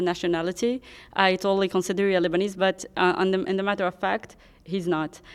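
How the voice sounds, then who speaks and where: A woman talks at a fairly quick pace with medium pitch. Her intonation is monotone and flat. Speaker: interpreter and co-host. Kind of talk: live interpreting. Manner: halting.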